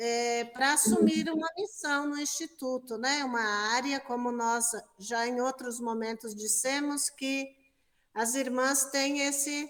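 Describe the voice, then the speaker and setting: High-pitched and very slow, a woman speaks with a Brazilian accent. Her pitch variation is ordinary. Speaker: religious sister, interviewer. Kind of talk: interview. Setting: exhibition room.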